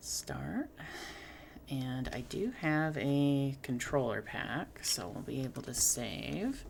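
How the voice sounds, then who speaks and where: Soft-spoken, a woman talks at a very slow pace. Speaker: game streamer. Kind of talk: live gameplay commentary. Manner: halting, many fillers.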